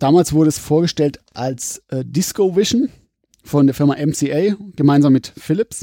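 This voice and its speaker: With a dark, mellow tone and fairly high pitch, a man talks at a fairly slow pace with ordinary pitch variation in a dry, close sound with no echo. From Pforzheim area, Baden-Württemberg. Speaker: laserdisc collector. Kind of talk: casual chat. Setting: at home.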